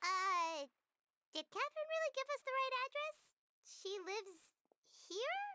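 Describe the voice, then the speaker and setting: A squeaky, put-on character voice at an extremely high pitch moves at a fairly quick pace, broken by long, frequent pauses. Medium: video game. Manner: chatty, casual.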